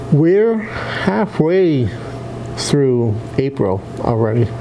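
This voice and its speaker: There is light background noise as a man speaks. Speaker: talk show host. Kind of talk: talk show host chat. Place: studio.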